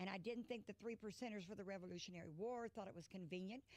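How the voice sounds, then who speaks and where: An American woman with a medium pitch talks very fast in an animated tone, her pitch varying in an ordinary way. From Indiana. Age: 70s. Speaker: political activist. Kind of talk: talk show interview. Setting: studio.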